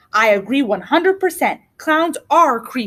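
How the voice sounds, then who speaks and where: A woman's put-on character voice, high-pitched and growling, with very wide pitch swings at a moderate pace. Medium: read story. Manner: grumbling, growly.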